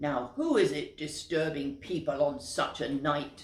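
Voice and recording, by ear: A man's gruff, put-on character voice, fairly high in pitch, at a fairly slow pace.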